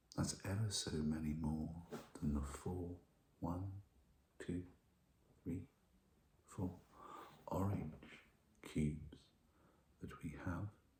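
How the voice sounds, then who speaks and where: The speaker whispers, soft-spoken, at a very slow pace with long, frequent pauses. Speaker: ASMR roleplay teacher. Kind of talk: teacher roleplay ASMR, soft-spoken maths lesson. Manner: soft-spoken, whispered.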